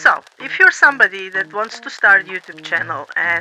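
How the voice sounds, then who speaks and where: A woman speaks at a medium pitch with a non-native accent and a moderate pace. Music plays in the background. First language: not English. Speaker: YouTuber. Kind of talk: casual talk to camera.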